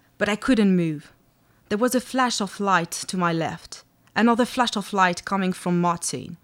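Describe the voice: Just plain reading aloud.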